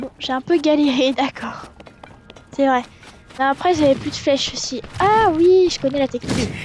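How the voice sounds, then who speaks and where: Against noticeable background noise, a woman speaks loudly with a high pitch and ordinary pitch variation at a moderate pace, leaving long, frequent pauses. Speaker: let's play gamer. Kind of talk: gameplay commentary.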